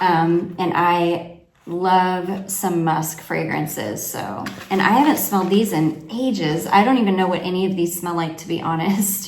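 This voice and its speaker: Fairly slow speech from a woman of fairly low pitch, ordinary pitch variation, noticeable background noise and audible room echo. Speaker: fragrance reviewer. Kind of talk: product review vlog.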